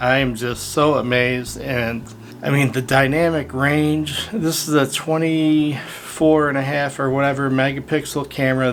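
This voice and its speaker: At a fairly slow pace, a man talks with fairly even intonation over noticeable background noise. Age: 60s. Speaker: photographer and video creator. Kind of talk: casual vlog talk to camera. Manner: casual with many fillers.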